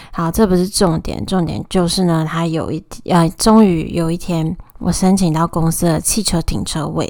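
A woman speaks at a fairly low pitch. She goes at a fairly slow pace with ordinary pitch variation. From Taiwan, Taoyuan. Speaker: podcast host. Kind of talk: casual solo monologue. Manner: animated, emotional.

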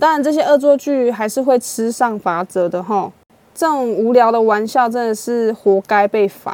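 Her pace is moderate and her voice fairly high. This woman uses ordinary pitch variation. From Taiwan. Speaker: podcast host. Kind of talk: true crime storytelling; casual chat. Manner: animated.

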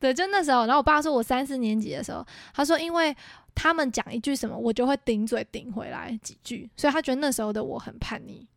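Talking at a very fast pace, a woman with a high pitch uses ordinary pitch variation, her loudness rising and falling in big swings. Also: very clean recording, silent background. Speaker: podcast co-host. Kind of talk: casual chat.

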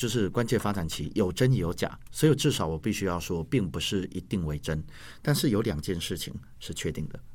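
A man with a Taiwanese accent speaks at a fairly quick pace in a fairly low voice with lively intonation. The recording is very clean, with a silent background. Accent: Taiwanese Mandarin. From Taiwan, Yunlin County. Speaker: language teacher and school administrator. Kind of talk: interview.

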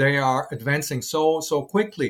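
A man with a German accent speaks at a moderate pace, his pitch fairly high. The recording is very clean, with a silent background. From West Germany (Dortmund). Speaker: German teacher. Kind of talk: interview. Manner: halting.

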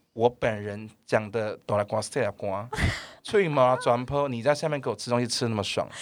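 Moderate pace and ordinary pitch variation. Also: man, medium pitch for a man. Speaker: primary school English teacher. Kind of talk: casual chat. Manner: loud.

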